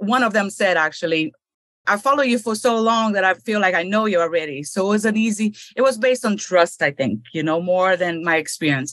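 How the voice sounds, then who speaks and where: A woman's voice at medium pitch, with very even loudness throughout. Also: lively intonation, fairly quick pace. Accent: Brazilian. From Brazil. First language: Portuguese. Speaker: real estate investor. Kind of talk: interview.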